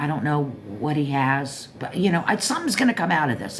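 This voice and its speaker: With an American accent, the speaker uses lively intonation at a moderate pace, amid audible room echo and noticeable background noise. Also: woman. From Florida, Pompano Beach area. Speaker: live stream host. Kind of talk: casual chat. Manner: rambling, halting.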